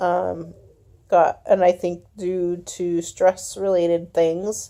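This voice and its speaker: A woman's dark, mellow tone at medium pitch. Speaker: vlogger sharing health updates. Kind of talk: casual video diary. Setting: at home in bed. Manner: halting, many fillers.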